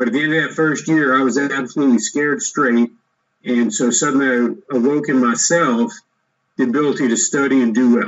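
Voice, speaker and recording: This man has a plain, everyday voice with an American accent and a fairly high pitch. He talks at a fairly quick pace with very even loudness and ordinary pitch variation. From United States, grew up on Army posts. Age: 60s. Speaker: entrepreneur, former army officer. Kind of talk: interview, personal story. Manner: conversational, with fillers and restarts.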